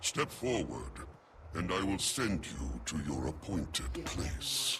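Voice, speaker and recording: Over clear background noise, a man does a put-on character voice at a very deep pitch and a fairly slow pace. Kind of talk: epic fantasy game voice acting. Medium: video game. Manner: solemn, measured, formal.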